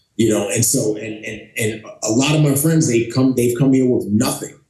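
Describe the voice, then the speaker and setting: A man with a New York accent at a medium pitch, his dark, mellow tone somewhat breathy amid audible room echo. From Bronx, New York City. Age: 40s. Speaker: former Navy SEAL. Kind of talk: interview. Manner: animated.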